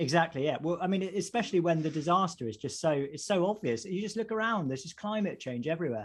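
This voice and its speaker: A man with a slight Essex accent talks at a very fast pace in a high pitch. He leaves hardly any pauses, against a quiet background. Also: lively intonation. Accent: slight Essex twang. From Essex, England. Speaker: vicar and podcast co-host. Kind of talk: casual chat.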